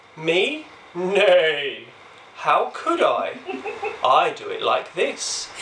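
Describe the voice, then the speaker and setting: Putting on a character voice, a man speaks at a high pitch and a very slow pace, leaving long, frequent pauses. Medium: read story.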